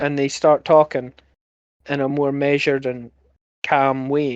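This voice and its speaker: The speaker has a Scottish accent. The delivery is at a fairly slow pace. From Scotland. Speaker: podcast host. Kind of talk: casual chat. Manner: animated.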